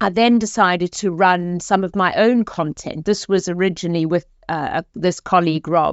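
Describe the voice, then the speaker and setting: With a South African accent, a woman talks at medium pitch with fairly even intonation. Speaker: executive coach. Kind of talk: podcast interview.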